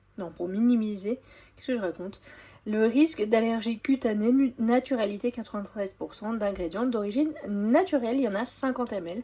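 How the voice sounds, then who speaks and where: A woman's somewhat breathy, dark, mellow voice sits at a fairly high pitch, showing ordinary pitch variation and big swings in loudness. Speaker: family grocery-haul vlogger. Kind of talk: product haul show-and-tell. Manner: casual, hesitant with frequent fillers.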